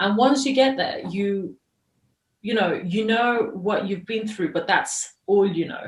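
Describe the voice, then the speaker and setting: A somewhat breathy voice at a fairly slow pace with ordinary pitch variation. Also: woman, fairly high pitch for a woman. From Iran, then moved between many countries. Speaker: journalist and filmmaker. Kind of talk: interview.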